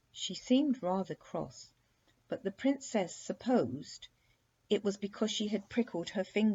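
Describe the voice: The passage is read aloud plainly. Its pitch moves in an ordinary way.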